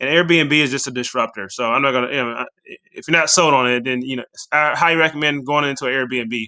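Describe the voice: The tone is bright and sharp, and the pace is fast. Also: man, medium pitch for a man, ordinary pitch variation.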